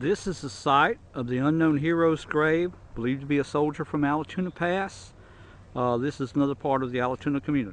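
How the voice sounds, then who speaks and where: A man with an American accent, fairly high in pitch, at a fairly quick pace with ordinary pitch variation, over noticeable background noise. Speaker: oral history interviewer. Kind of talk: local history tour narration to camera. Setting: outdoors.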